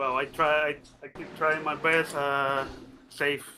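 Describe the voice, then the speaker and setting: A man with a fairly high pitch, a bright, sharp tone and a non-native accent, at a very slow pace. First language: Spanish. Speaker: sim racing driver. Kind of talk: post-race interview. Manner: halting.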